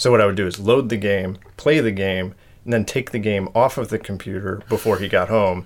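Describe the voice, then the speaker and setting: The man has an unremarkable speaking voice, fairly low in pitch, with fairly even intonation and a fairly quick pace. The recording is very clean, with a silent background. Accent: American. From US Northeast, Connecticut. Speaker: artist and craftsman. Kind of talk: casual interview chat. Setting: at his home.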